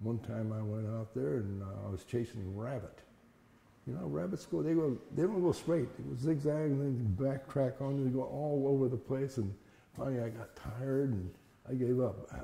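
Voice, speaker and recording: A man's somewhat breathy, dark, mellow voice at medium pitch, with an American accent, lively intonation, and a moderate pace. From Fresno, California. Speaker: internment camp survivor. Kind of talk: interview. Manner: halting.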